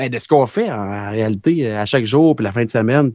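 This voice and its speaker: In an ordinary speaking voice, a man talks at a fairly quick pace with lively intonation, on a very clean recording with a silent background and a dry, close sound with no echo. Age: 30s. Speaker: country pop singer-songwriter. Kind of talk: casual interview.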